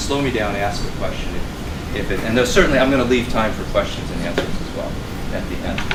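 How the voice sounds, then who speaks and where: A man talking very fast, with audible room echo and noticeable background noise. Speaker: finance professor. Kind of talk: lecture.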